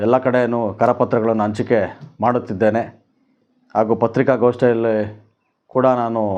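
A male voice sits at a medium pitch, delivered with a flat, monotone intonation. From Kolar district, Karnataka, India. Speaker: doctor and political aspirant. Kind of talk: campaign statement to press. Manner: halting.

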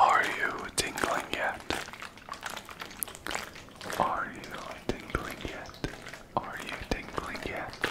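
A soft-spoken man whispering at a very slow pace, with long, frequent pauses and loud background noise. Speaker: ASMR creator. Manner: soft close-mic ASMR whisper. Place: home room. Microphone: studio mic.

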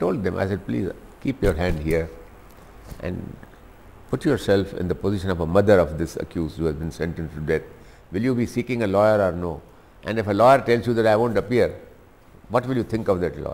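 Very fast delivery with lively intonation and long, frequent pauses. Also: man, fairly low pitch for a man. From India. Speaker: lawyer and politician. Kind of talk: interview answer. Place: home room. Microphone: lapel.

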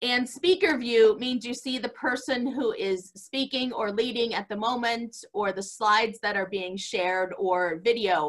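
A woman speaks in a high pitch over a quiet background. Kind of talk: announcements before worship. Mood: calm, friendly, instructive. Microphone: video call.

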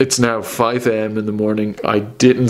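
Music plays behind a man with an Irish accent. He speaks at a fairly slow pace with monotone, flat intonation. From Ireland. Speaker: travel vlogger. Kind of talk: casual talk to camera.

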